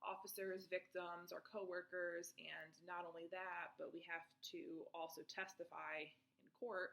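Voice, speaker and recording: Speaking at a fairly slow pace, a woman keeps a monotone, flat intonation while her loudness swings widely. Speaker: crime scene investigator. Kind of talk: testimony. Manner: hesitant, with fillers.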